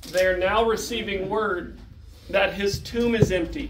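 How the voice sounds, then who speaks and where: A man speaks at a very slow pace in a high pitch, with ordinary pitch variation. The room has audible echo and light background noise. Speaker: presenter. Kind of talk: lecture. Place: meeting room.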